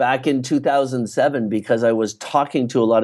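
Against a quiet background, a man with a Canadian accent speaks fairly quickly at a medium pitch with fairly even intonation. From eastern Canada. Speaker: publishing entrepreneur and author. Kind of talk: interview.

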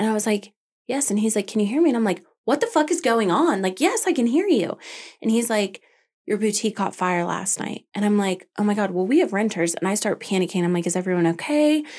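A woman races along at a very fast pace with lively intonation. Her pitch is fairly high, and the recording is very clean with a silent background. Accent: American. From Arizona (Tucson), then Colorado. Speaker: small business owner. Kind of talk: interview.

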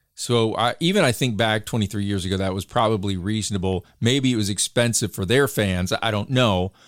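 A man with an American accent has a normal speaking voice at a fairly low pitch with ordinary pitch variation and hardly any pauses. The recording is very clean with a silent background. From Michigan. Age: 40s. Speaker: podcast co-host. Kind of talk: casual interview conversation.

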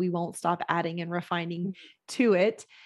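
The speaker has an American accent and an unremarkable speaking voice. The pace is moderate. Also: woman. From Texas, San Antonio. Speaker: operations consultant and program founder. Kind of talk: interview.

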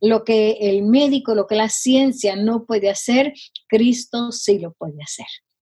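Somewhat breathy and dark, mellow in tone, the voice moves at a fairly slow pace with big swings in loudness. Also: woman, fairly high pitch for a woman, ordinary pitch variation. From Guatemala. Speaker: missionary and healing minister. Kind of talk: interview testimony. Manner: halting, many fillers.

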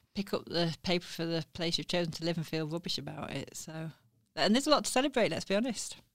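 A woman with a South Yorkshire accent talks at a very fast pace and a fairly low pitch in a very clean recording with a silent background. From Sheffield, northern England. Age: 40s. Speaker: newspaper editor. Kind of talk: interview. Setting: studio.

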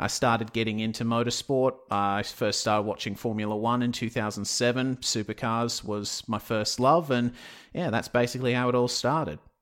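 With an Australian accent, a man talks at a moderate pace and medium pitch, using fairly even intonation and hardly any pauses, in a very clean recording with a silent background. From Western Australia (Perth). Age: 20s. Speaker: sim racing commentator. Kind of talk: interview.

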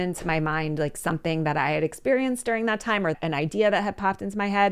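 With an American accent, a normal speaking voice moves at a fairly quick pace with lively intonation on a very clean recording with a silent background. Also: woman. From Philadelphia, US. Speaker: storytelling coach. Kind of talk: casual chat.

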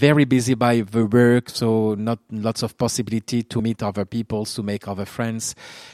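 A man's medium-pitched voice in a French accent, monotone and flat in intonation, with hardly any pauses and a dry, close sound with no echo. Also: moderate pace. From northern France (Hauts-de-France). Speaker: school principal. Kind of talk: interview. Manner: halting.

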